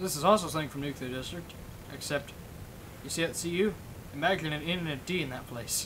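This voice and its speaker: A man's very fast, fairly high-pitched speech with audible room echo and noticeable background noise. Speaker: livestreamer and game server owner. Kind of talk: casual livestream chat. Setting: livestream with voice chat. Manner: rambling, hesitant with many fillers.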